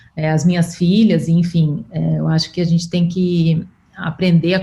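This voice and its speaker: A woman speaks at a fairly slow pace with a fairly low pitch. She has an ordinary speaking voice. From Brazil. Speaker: podcast host. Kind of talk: interview conversation.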